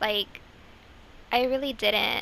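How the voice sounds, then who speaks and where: A woman's voice sits high in pitch and sounds bright and sharp. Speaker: gaming youtuber. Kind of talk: gameplay commentary. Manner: casual, filler-heavy; quiet at times.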